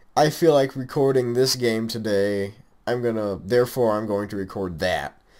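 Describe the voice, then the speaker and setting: The recording is very clean, with a silent background. In it, a man talks at a moderate pace in a medium pitch. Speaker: gaming YouTuber. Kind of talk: casual vlog update. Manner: monotone.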